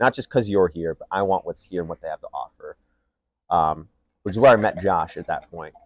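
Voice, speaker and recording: Over a quiet background, a man with a Michigan accent talks at a fairly low pitch in a dry, close sound with no echo. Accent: Midwestern US (Michigan). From Michigan, Canton. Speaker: podcast co-host. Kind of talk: casual chat.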